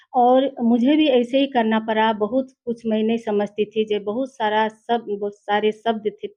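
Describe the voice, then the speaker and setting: Her pitch is fairly high, and this woman's voice varies in pitch in the usual way. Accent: Nepali. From Nepali-speaking background. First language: Nepali (speaking Hindi). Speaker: literary translator. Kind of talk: interview. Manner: halting.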